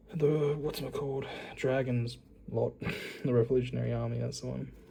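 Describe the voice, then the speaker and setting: Audible room echo surrounds a man speaking at a moderate pace with an Australian accent. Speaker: YouTuber, card collector. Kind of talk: casual unboxing commentary. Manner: casual, hesitant with fillers.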